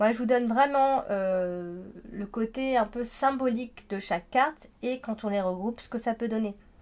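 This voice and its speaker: A woman's fairly high voice at a fairly slow pace, with ordinary pitch variation and big swings in loudness. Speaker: tarot card reader. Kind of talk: horoscope card reading. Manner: hesitant, many fillers.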